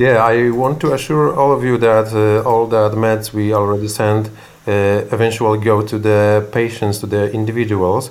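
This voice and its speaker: There is audible room echo as a man speaks in a Polish accent at a moderate pace. His pitch is fairly low and his intonation fairly even. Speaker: medical center executive. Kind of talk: interview. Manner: halting.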